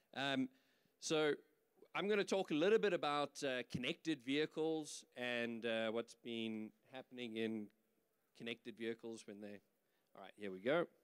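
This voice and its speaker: In a South African accent, the speaker uses lively intonation and big swings in loudness. Long pauses come often, and the sound is dry and close with no echo. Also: man, medium pitch for a man, moderate pace. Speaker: business executive. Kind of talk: conference presentation.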